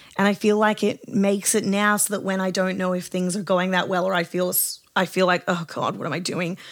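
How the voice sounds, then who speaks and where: Using an Australian accent, a woman speaks at a fairly quick pace with medium pitch and monotone, flat intonation. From Australia, southwest Sydney. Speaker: singer-songwriter. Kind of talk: casual interview chat. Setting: home studio.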